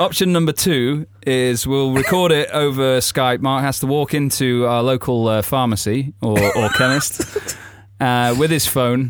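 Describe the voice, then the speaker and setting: A man with a northern English accent talks with fairly even intonation. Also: medium pitch for a man, fairly slow pace, very even loudness. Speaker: podcast host. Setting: studio.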